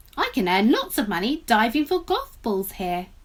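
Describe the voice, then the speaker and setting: The speaker uses a put-on character voice with very wide pitch swings. The pace is moderate. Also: female-sounding voice, fairly high pitch for a woman. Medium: read story.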